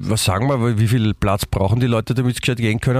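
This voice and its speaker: A man talks with fairly even intonation. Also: dry, close sound with no echo. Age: 50s. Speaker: podcast co-host. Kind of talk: casual chat.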